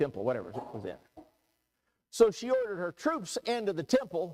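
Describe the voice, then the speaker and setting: An animated man's voice moves through very wide pitch swings. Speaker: preacher. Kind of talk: sermon. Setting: church. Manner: loud.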